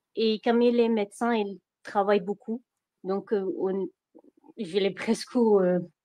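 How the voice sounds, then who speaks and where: Speaking with a strong Iraqi accent, a woman uses a medium pitch, a dark, mellow tone and fairly even intonation at a very slow pace, with long, frequent pauses. The sound is dry and close with no echo. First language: Arabic (speaking French). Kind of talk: testimony. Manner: halting, many hesitations.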